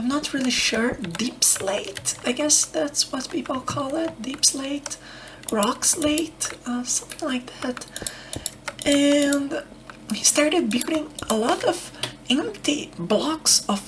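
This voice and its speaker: A soft-spoken woman's high voice at a very slow pace, calm in tone with lively intonation, over noticeable background noise. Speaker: ASMR creator. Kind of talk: ASMR soft-spoken gaming ramble. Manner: soft-spoken, calm.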